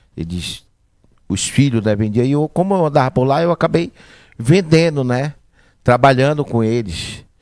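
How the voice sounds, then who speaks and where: Lively intonation marks this man's speech, delivered at a fairly slow pace. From Manacapuru, Amazonas, Brazil. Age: 40s. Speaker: business owner, butcher shop. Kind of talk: interview, life story.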